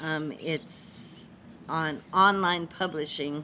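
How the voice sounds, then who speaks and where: A woman talks with fairly even intonation at a very deep, low pitch. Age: 70s. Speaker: spiritual author. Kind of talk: interview.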